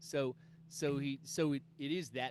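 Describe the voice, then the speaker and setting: Vocal fry runs through the man's speech. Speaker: comic book creator. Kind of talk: casual interview chat. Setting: video call. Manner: loud.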